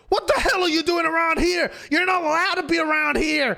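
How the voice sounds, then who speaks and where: This is a put-on character voice with extremely high pitch. The pace is fairly quick. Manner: angry, scolding.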